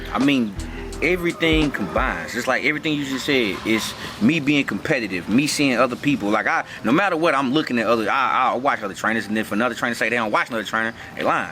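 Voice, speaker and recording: Amid noticeable background noise, a man speaks very fast at a medium pitch with lively intonation. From North Carolina, Winston-Salem. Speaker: personal trainer and gym owner. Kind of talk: casual interview. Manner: casual, relaxed.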